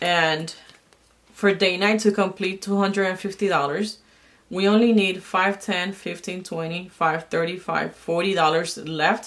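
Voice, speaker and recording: Quiet and at a fairly slow pace, a woman speaks with fairly even intonation. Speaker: budgeting and planner vlogger. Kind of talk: casual tutorial while cash stuffing. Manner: hesitant, many fillers.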